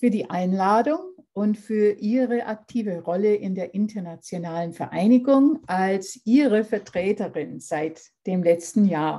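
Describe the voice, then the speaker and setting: With an English accent, a woman speaks very slowly at a medium pitch, her tone dark and mellow and her intonation lively. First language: English (speaking German). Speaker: lecturer. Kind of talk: lecture. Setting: video call. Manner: formal.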